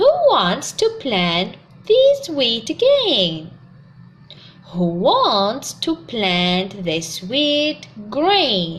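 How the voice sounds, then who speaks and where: A woman's put-on character voice, fairly high in pitch, at a very slow pace. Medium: read story.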